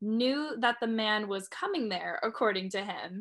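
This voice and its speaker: A woman's fairly high voice at a moderate pace, on a very clean recording with a silent background. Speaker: student radio co-host. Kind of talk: casual chat. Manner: blunt, animated.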